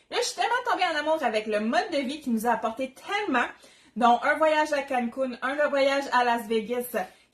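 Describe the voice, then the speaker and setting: Noticeable background noise surrounds a woman speaking at a moderate pace. Her pitch is high and her intonation lively. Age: 30s. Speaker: Tupperware consultant, cooking demo host. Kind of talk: live cooking demo. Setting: livestream from home kitchen. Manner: animated.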